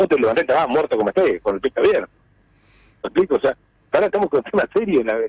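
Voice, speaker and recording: A man talking at a very fast pace, broken by long, frequent pauses, very even in loudness, with a dry, close sound and no echo. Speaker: economist. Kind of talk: phone interview.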